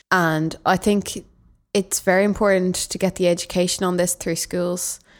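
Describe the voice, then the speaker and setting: Against a very clean recording with a silent background, a woman speaks at a moderate pace and medium pitch. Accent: Dublin. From Dublin, Ireland. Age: young. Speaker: youth volunteer. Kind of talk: casual chat.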